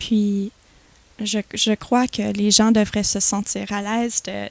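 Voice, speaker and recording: On a very clean recording with a silent background, a woman speaks very slowly in a fairly high voice with monotone, flat intonation. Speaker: student association president. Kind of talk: TV interview. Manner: halting, many repetitions.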